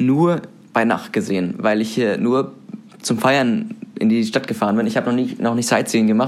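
With noticeable background noise, a man talks at a fairly quick pace, his pitch swinging very widely. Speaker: student radio host. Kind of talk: casual chat. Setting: student room.

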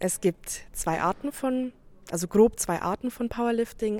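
A woman with an unremarkable speaking voice, fairly high in pitch, with ordinary pitch variation and a fairly slow pace. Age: 20s. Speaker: competitive powerlifter. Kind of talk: interview.

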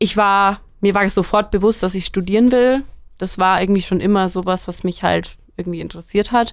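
On a very clean recording with a silent background, a woman speaks in a plain, everyday voice at a medium pitch with fairly even intonation. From Germany, Franconia near Nuremberg. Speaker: student podcast co-host. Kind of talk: casual chat.

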